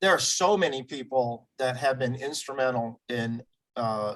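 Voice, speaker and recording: In an unremarkable speaking voice, a man delivers his words at a moderate pace and a medium pitch. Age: 60s. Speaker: community group founder. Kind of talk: interview.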